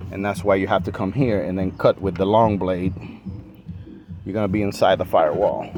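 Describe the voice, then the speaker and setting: Amid noticeable background noise, a man with a slight non-native accent and a fairly low pitch talks at a fairly quick pace with fairly even intonation and long, frequent pauses. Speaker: car restoration hobbyist. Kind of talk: tutorial. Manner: casual, hesitant with fillers.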